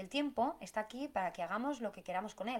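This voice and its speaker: With a plain, everyday voice, a woman speaks at a fairly quick pace, her fairly high pitch carried by lively intonation. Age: 30s. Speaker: podcast host, business planning coach. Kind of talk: solo podcast monologue.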